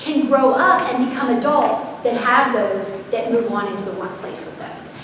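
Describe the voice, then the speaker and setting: A woman's pitch swings very widely amid noticeable background noise and audible room echo. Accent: American. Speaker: parenting educator and consultant. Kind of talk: seminar presentation. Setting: live audience, unmiked. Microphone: no microphone, room sound.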